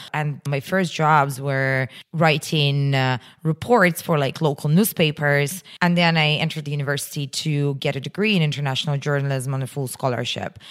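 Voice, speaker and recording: Through noticeable background noise, a woman speaks at a moderate pace in a very deep, low pitch with ordinary pitch variation. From Russia. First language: Russian. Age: 30s. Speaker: entrepreneur. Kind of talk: interview.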